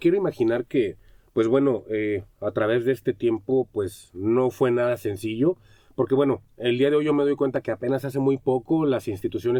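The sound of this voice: At a fairly quick pace, a man speaks with a medium pitch and a dark, mellow tone.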